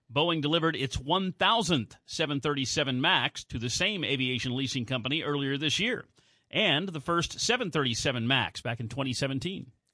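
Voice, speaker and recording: A man with an American accent talks at a fairly slow pace and fairly high pitch, with ordinary pitch variation and an unremarkable speaking voice. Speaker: radio co-host and sports announcer. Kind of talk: radio newscast and sports update.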